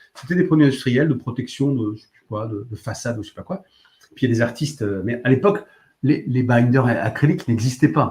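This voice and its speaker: Somewhat breathy, a man with a medium pitch talks at a fairly quick pace. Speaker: art supplies shop livestream host. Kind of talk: live demonstration stream answering chat. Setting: live video stream. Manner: fast; animated.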